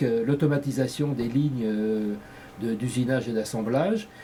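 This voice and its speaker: The speech runs at a fairly quick pace with ordinary pitch variation, and noticeable background noise is present. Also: man. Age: 60s. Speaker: candidate in a community election, engineer and business executive. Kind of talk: interview. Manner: hesitant, frequent fillers.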